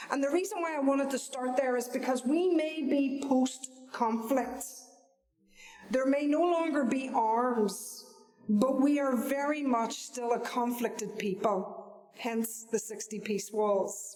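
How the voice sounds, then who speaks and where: With a Northern Irish accent, a woman speaks fairly slowly at a high pitch with ordinary variation, over noticeable background noise and audible room echo. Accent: Northern Irish (Belfast). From Northern Ireland, Belfast. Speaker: Baptist minister and peace worker. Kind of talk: talk to an audience.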